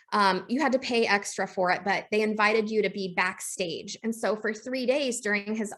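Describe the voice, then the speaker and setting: A woman's bright, sharp voice of fairly high pitch, with ordinary pitch variation, over a quiet background. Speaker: entrepreneur. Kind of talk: interview. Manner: casual, filler-heavy.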